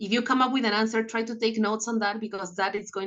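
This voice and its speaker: Speaking very fast, a woman with a non-native accent keeps her intonation fairly even. Her pitch is fairly high. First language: not English. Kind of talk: interview.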